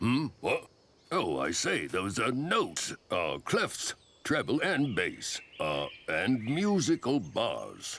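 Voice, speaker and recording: A man's cartoonish character voice at a very slow pace. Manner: proper, refined.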